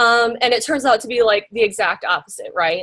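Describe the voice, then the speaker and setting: A woman speaks with a Midwestern American accent. Her pitch is high. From US Midwest, small-town Iowa. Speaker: graphic designer. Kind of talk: guest lecture. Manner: casual, many fillers.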